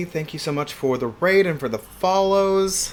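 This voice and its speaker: A man at a moderate pace with lively intonation and noticeable background noise. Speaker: streamer cooking on a live stream. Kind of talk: casual live-stream chat. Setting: home kitchen live stream. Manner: animated.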